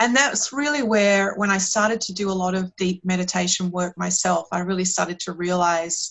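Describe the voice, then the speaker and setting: A woman's medium-pitched voice, with ordinary pitch variation, proceeds at a moderate pace. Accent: Australian. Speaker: meditation and performance coach. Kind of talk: podcast interview. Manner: hesitant, with fillers and repeats.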